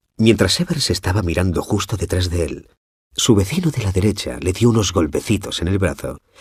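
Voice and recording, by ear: With lively intonation, a person reads aloud in a natural voice over a quiet background.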